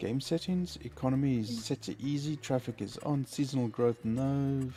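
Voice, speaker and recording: With a dark, mellow tone, a man speaks at medium pitch and a fairly slow pace, using ordinary pitch variation. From South Africa. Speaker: gaming live streamer. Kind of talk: casual chat. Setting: live stream.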